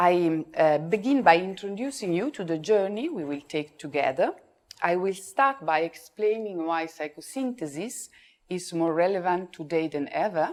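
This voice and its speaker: A woman's fairly low voice at a moderate pace, on a very clean recording with a silent background. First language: Italian. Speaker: psychosynthesis speaker. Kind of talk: conference talk read from script. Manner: reading aloud.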